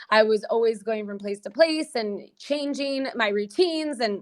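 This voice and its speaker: A woman's fairly high voice in a Californian accent, with ordinary pitch variation. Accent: American, California. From US, San Diego, California. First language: Portuguese. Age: 30s. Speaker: singer and PR entrepreneur. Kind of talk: podcast interview.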